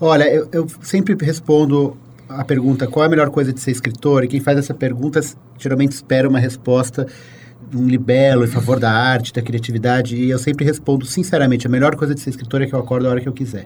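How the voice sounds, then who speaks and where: Speaking at a very fast pace, a man has a medium pitch and a somewhat breathy voice. His intonation stays fairly even. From Brazil, São Paulo. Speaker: writer, columnist. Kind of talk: casual interview conversation.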